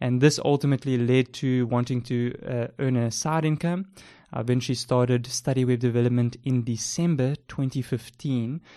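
Speaking at a moderate pace in a South African accent, a man has a dark, mellow tone, medium pitch, and fairly even intonation. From South Africa, Port Elizabeth. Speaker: podcast host, freelance web developer. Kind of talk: casual chat, intro episode. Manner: hesitant, filler words.

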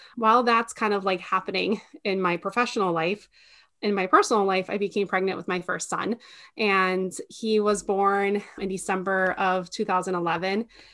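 Intonation stays fairly even throughout. It is an ordinary speaking voice at a moderate pace. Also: woman, medium pitch for a woman. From Minnesota, partly raised in Mexico. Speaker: postpartum meal delivery business owner. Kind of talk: interview conversation.

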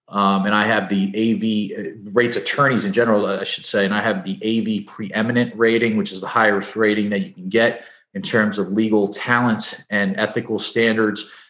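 A man with a New Jersey accent speaks at a moderate pace and a fairly low pitch, with hardly any pauses. His intonation stays monotone and flat. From New Jersey (Edison). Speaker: personal injury lawyer. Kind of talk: interview.

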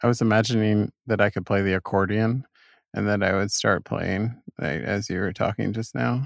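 A plain, everyday voice from a man at fairly low pitch, with ordinary pitch variation and a moderate pace, in a dry, close sound with no echo and a very clean recording, silent background. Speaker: co-host. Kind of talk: casual banter. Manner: joking, laughs a lot.

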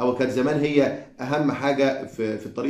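Audible room echo fills the recording. The voice belongs to a man. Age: 40s. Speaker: podcast co-host. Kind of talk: casual chat.

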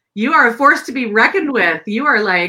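A woman's fairly high, bright, sharp voice with lively intonation at a fairly quick pace.

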